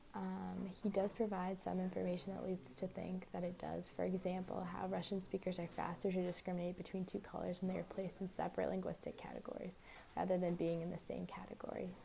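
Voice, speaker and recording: A woman speaks quietly at a very fast pace. She hardly pauses at all. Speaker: student. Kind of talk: class assignment review. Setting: library.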